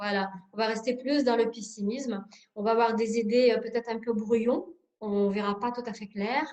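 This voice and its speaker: This woman speaks with a Russian accent. Her pitch is fairly high and her intonation fairly even. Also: moderate pace. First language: Russian (speaking French). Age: 40s. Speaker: sophrologist. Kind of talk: workshop presentation. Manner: hesitant, many filler sounds.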